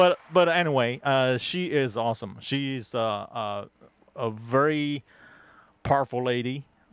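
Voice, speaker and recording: A fairly slow pace from a man with an ordinary speaking voice and ordinary pitch variation. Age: 60s. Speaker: guest co-host of sports talk show. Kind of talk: casual chat. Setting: studio.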